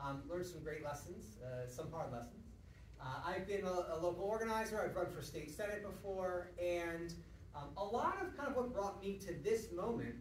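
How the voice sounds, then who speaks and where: A man speaks at a moderate pace with a high pitch. Audible room echo and light background noise surround him. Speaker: lecturer. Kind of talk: lecture. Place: hall. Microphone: camera far.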